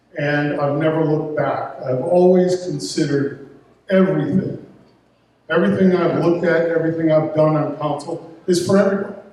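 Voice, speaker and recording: With audible room echo, a man with an American accent talks fairly quickly at a fairly high pitch, his intonation fairly even. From Detroit, US Midwest. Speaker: town councilman. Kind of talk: campaign speech at candidate forum. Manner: halting, repeats words.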